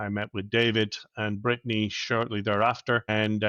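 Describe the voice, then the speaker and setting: A man with an Irish accent talks at a fairly quick pace in a fairly low pitch, his bright, sharp tone delivered with monotone, flat intonation, in a dry, close sound with no echo over a quiet background. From Ireland, Dublin. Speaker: operations advisor for business acquisitions. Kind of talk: casual business interview.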